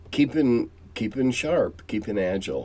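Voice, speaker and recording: A man speaks very slowly with an American accent and lively intonation. His tone is dark and mellow. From US Midwest (Quad Cities, Illinois/Iowa border). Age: 70s. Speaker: tabletop game veteran and channel host. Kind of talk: casual monologue answering viewer questions. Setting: home cellar. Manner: halting with many fillers and repetitions.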